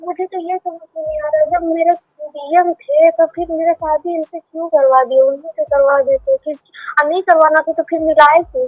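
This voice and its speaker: A woman talks at an extremely high pitch with ordinary pitch variation. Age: 30s. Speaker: caller. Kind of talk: call-in consultation. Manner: halting.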